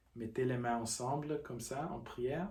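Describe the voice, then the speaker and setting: Speaking at a very slow pace, a man uses a calm, somewhat breathy voice of medium pitch and dark, mellow tone. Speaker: qigong teacher. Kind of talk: guided practice instruction. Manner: halting.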